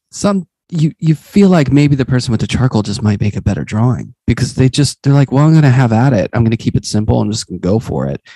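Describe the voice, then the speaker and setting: A man with an American accent talks at a very fast pace with hardly any pauses, his medium-pitched, somewhat breathy voice dark and mellow in tone. His intonation is lively, and the sound is dry and close with no echo. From Pittsburgh, Pennsylvania. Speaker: podcast host and art teacher. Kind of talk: casual interview conversation.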